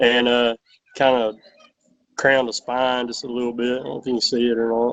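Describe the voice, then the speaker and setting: In a Southern US accent, a man at medium pitch talks at a fairly quick pace with monotone, flat intonation. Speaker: fill-in podcast guest, knife enthusiast. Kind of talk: casual chat. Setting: video call.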